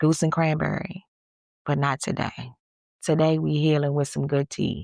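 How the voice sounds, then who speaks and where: A woman with a very deep, low voice speaks at a fairly slow pace in a dry, close sound with no echo. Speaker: podcast host and salon owner. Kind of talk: casual solo podcast.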